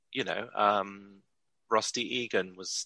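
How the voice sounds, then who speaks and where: A man's voice comes through dry and close, with no echo and a quiet background. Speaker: musician. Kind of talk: casual interview.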